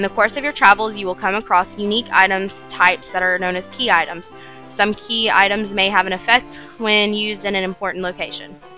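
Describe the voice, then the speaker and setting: Music plays in the background as a woman speaks at a very fast pace. Her medium pitch carries fairly even intonation. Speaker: let's play gamer. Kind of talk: reading on-screen game text aloud.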